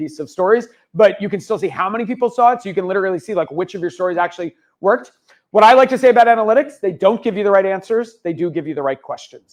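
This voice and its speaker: A man speaks at a very fast pace in an animated tone. His pitch is high. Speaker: social media consultant and speaker. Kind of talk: conference presentation. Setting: stage with audience.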